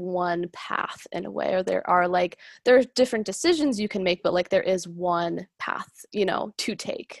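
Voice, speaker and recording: A woman's ordinary speaking voice, medium in pitch, with an American accent, at a moderate pace, with a dry, close sound with no echo and a quiet background. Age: 20s. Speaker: podcast host. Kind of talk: casual chat.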